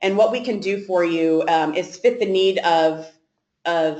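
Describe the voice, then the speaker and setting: This woman's voice sits at a medium pitch and shows ordinary pitch variation. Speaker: sales director. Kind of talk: webinar presentation. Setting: online webinar. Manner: fast; halting, many fillers.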